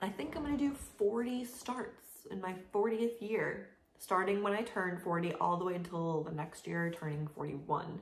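A woman speaks at a fairly slow pace with lively intonation, and audible room echo surrounds her voice. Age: 30s. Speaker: craft vlogger. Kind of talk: casual chat. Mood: relaxed, friendly. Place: home room. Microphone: camera far.

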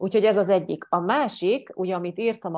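A woman at a moderate pace with ordinary pitch variation, against a quiet background. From Hungary. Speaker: life coach; coach answering program questions. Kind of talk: monologue answering viewer questions. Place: home room. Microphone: earbuds.

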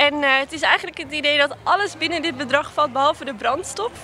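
With light background noise and a dry sound free of echo, a woman speaks in a raised, projected voice. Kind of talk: interview answer. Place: market. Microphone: handheld.

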